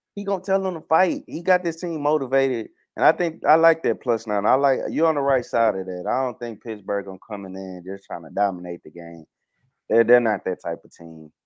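Man of medium pitch at a fairly quick pace, very wide pitch swings, big swings in loudness, quiet background. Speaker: sports betting podcast host. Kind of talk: casual chat. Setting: video call.

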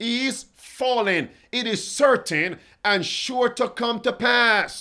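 Raised and projected, a man's high-pitched voice sounds bright and sharp, with a dramatic, animated tone and ordinary pitch variation. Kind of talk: fiery sermon-style Bible prophecy preaching, rallying the online congregation. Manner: animated, emphatic, exhorting, repeating phrases and calling out to the listeners; urgent, dramatic, rhetorical questioning.

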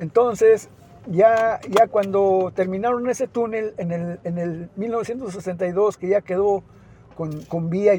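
Dark and mellow in tone, this man's voice sits high in pitch, with ordinary variation. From Mexico, Zacatecas (Mazapil). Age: 70s. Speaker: last remaining villager, land-rights activist. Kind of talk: testimony. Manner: halting, many repetitions.

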